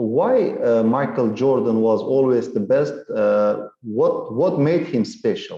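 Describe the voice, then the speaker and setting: This man speaks at a very slow pace with hardly any pauses. His loudness stays very even throughout. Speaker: English teacher. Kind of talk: online English lesson conversation.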